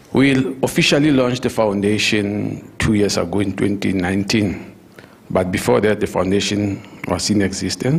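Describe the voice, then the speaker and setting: A man speaks at a moderate pace and a fairly low pitch, with ordinary pitch variation and very even loudness. Noticeable background noise runs underneath. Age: 60s. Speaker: retired education administrator, foundation founder. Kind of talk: interview at leadership dialogue. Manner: halting, with frequent fillers.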